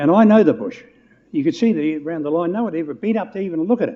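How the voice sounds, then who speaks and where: A man speaks with a New Zealand accent. His pace is moderate and his intonation lively. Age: 80s+. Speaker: public submitter at council hearing. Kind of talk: public hearing submission. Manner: halting, repetitive.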